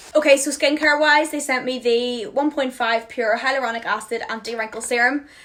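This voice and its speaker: With a Northern Irish accent, a woman talks high-pitched and animated at a fairly quick pace with hardly any pauses. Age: 20s. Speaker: beauty influencer. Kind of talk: product haul chat. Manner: fast.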